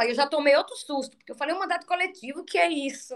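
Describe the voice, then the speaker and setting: With a high pitch, a woman speaks using lively intonation. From Maranhão, Brazil. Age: 40s. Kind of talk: interview.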